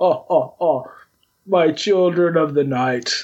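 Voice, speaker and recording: Putting on a character voice, a man talks high in pitch at a fairly slow pace. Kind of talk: gothic horror villain. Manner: possessive, mocking, chuckling.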